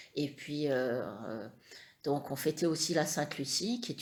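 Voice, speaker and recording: A woman's very deep, low voice moves through ordinary pitch variation. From France, Perche (Eure-et-Loir). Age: 50s. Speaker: interviewee, mother of the channel owner. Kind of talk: family interview. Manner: hesitant, many fillers.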